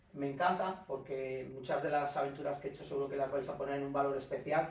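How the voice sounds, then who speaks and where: A man's voice, pitched somewhat high, comes through an echoing room with clearly audible noise in the background. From Castile, Spain (Íscar, Valladolid). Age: 50s. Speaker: ocean rower and adventurer. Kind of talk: lecture. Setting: conference room with small audience, no microphone. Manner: loud, half shouting.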